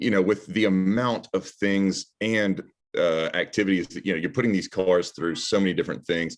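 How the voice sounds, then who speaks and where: With a Southern US accent, a man talks at a moderate pace in a fairly low pitch and fairly even intonation, recorded very cleanly against a silent background. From Alabama. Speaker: automotive journalist. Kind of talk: interview. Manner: halting.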